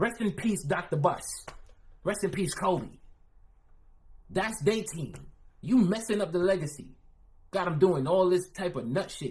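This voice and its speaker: A man with a New York accent, high-pitched, with long, frequent pauses. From Philadelphia. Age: 30s. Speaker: streamer reacting to videos. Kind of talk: live stream reaction commentary. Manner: animated.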